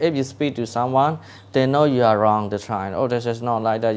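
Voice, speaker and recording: A man speaks with a Burmese accent. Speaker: English learning advice giver. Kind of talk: casual advice talk. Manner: halting, many fillers and repetitions.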